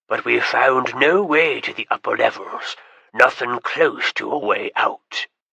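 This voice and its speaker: A man puts on a raspy character voice. He speaks at a fairly slow pace. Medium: read story. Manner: gruff, folksy.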